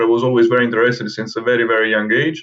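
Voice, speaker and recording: A man with an Italian accent and ordinary pitch variation. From southern Italy, Naples. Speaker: herpetologist. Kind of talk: interview. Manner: halting, with many repetitions and fillers.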